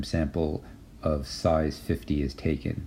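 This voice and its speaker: Recorded with audible room echo, a man with a very deep, low pitch speaks very slowly in a somewhat breathy, dark, mellow tone with fairly even intonation. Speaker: university statistics lecturer. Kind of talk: lecture. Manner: halting, many fillers.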